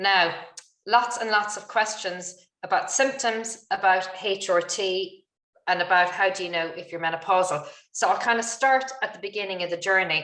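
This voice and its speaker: Speaking with an Irish accent, a woman with a medium pitch and a bright, sharp tone keeps a moderate pace, ordinary pitch variation and big swings in loudness. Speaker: webinar moderator, doctor. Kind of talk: webinar Q&A moderation. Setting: online webinar.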